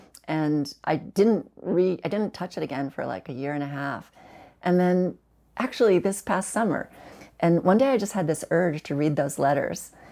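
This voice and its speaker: On a very clean recording with a silent background, a woman at a fairly low pitch speaks at a moderate pace, her tone dark and mellow and her intonation lively. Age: 60s. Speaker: terminally ill cancer patient. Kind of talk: podcast interview. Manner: halting.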